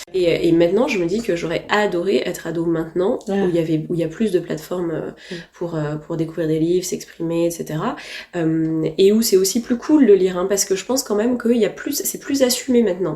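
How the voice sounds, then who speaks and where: At a medium pitch with ordinary pitch variation, a woman talks fairly quickly while noticeable background noise plays behind her. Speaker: novelist. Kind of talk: interview answer. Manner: enthusiastic, precise.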